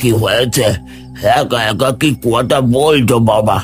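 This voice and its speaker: Against clear music in the background, someone uses a raspy, put-on character voice at a fairly slow pace. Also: man, medium pitch for a man. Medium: cartoon. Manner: mysterious, coaxing.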